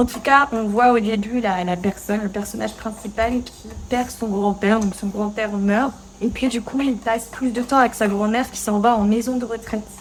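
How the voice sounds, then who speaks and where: Noticeable background noise sits behind a woman speaking at a moderate pace in a fairly high, monotone, flat voice. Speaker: French teacher. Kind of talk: casual talk to camera while cooking. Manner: natural pace, conversational, many fillers.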